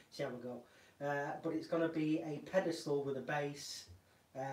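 A man speaks at a moderate pace with audible room echo and light background noise. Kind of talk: casual vlog chat. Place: workshop.

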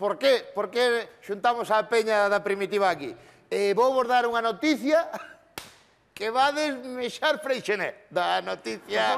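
An extremely high-pitched man's voice with ordinary pitch variation. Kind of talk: comedy sketch monologue. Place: studio. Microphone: lapel.

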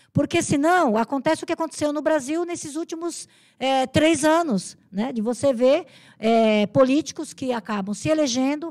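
A woman's high voice with lively intonation, at a fairly slow pace against a quiet background. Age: 60s. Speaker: human rights activist and political candidate; candidate. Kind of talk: podcast interview. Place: studio. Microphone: studio mic.

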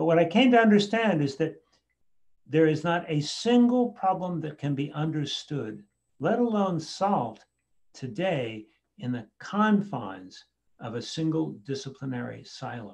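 A fairly high-pitched man with an American accent, at a fairly slow pace, with very wide pitch swings and a quiet background. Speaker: education author and speaker; speaker. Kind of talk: talk with presentation and Q&A. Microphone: video call.

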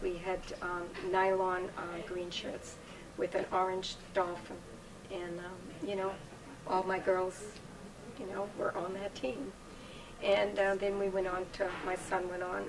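Over noticeable background noise, a woman speaks at a fairly slow pace in a monotone, flat intonation, leaving long, frequent pauses. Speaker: guest. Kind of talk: interview answer. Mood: warm, reminiscing, occasional laughs. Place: home room.

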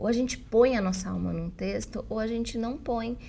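A woman's dark, mellow tone with vocal fry, at a moderate pace. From Brazil. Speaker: journalist and writing teacher; journalist, writing teacher. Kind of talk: interview. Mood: warm, earnest. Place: studio. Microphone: lapel.

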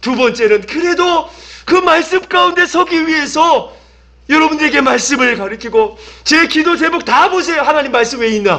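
Against a quiet background, a man speaks in a raised, projected voice at an extremely high pitch, his loudness very even, his intonation lively, his pace moderate. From South Korea. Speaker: pastor. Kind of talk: sermon. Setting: church. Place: church. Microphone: podium.

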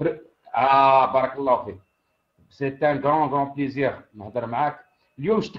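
A man talks at a moderate pace with long, frequent pauses. His voice is fairly high, with ordinary pitch variation. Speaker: caller. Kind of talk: casual chat.

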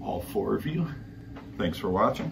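A man speaks over noticeable background noise. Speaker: cycling gear reviewer. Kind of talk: product review vlog. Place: home room. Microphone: camera far.

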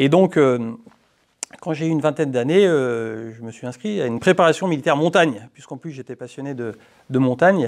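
Over a quiet background, a man with a fairly high pitch uses lively intonation and big swings in loudness. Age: 30s. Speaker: politician. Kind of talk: interview. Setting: parliament committee room. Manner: hesitant with fillers. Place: meeting room. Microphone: lapel.

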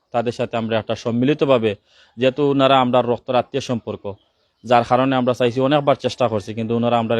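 A man speaks in a Sylheti accent at medium pitch with fairly even intonation. The sound is dry and close with no echo. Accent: Sylheti-accented Bengali. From Bangladesh, Sylhet region (Kulaura, Moulvibazar). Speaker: local resident with a complaint. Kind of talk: statement to the press.

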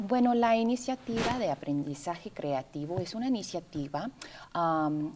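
A woman speaks at a fairly slow pace with a fairly low pitch. Her tone is dark and mellow, her intonation lively. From US South, Texas (McAllen, Rio Grande Valley); Texas. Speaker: actress and arts education coordinator; actress. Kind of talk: TV interview. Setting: TV studio. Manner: halting, many fillers. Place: studio. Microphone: lapel.

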